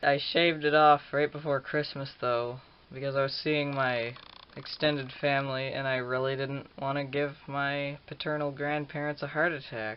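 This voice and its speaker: There is noticeable background noise as a man with a fairly high voice speaks at a fairly slow pace. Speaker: vlogger. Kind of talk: personal video diary. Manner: casual, hesitant.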